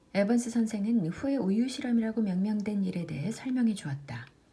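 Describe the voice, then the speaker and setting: A woman speaks at a medium pitch and a moderate pace. Her intonation is lively, and there is noticeable background noise. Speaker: audiobook reader, book vlogger. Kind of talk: audiobook reading.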